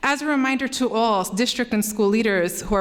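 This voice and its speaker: Lively intonation marks this woman's fairly high pitch. She speaks at a fairly quick pace. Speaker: parent speaking at public comment. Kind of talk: prepared public comment. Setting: school board meeting. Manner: fast.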